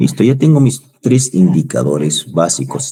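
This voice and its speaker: A man at a moderate pace. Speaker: university lecturer. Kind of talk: online lecture.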